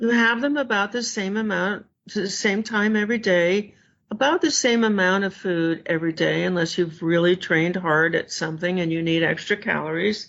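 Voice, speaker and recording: At a moderate pace, an ordinary speaking voice talks with ordinary pitch variation. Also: woman, medium pitch for a woman. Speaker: food addiction expert. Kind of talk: interview.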